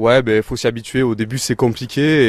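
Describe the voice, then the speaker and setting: A man delivers his words at a fairly quick clip in an ordinary speaking voice, keeping his intonation fairly even. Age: 20s. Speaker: amateur racquetball player. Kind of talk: casual interview.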